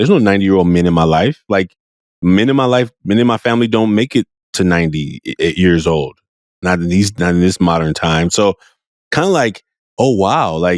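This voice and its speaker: At a fairly quick pace, a man with a very deep, low pitch speaks with lively intonation in a dry, close sound with no echo. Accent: West Coast American. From US, Oakland California. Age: 40s. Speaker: podcast host. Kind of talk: podcast interview.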